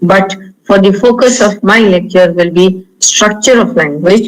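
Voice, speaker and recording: Someone with an Indian accent talks at a moderate pace. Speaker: linguistics professor. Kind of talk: lecture.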